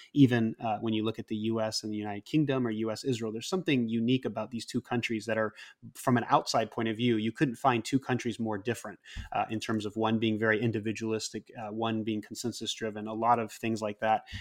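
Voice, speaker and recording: A man with a General American accent speaks very fast at a medium pitch in a flat monotone, with a dry, close sound and no echo. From Japan (Hokkaido, Sapporo), American heritage. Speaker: nonprofit president and former academic. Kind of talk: casual interview conversation.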